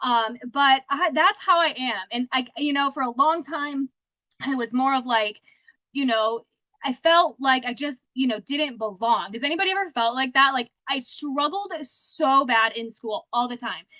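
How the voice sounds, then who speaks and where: A woman's high, raised and projected voice, bright and sharp in tone, animated, with ordinary pitch variation, in a dry, close sound with no echo. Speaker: sales director. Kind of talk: motivational talk. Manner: fast.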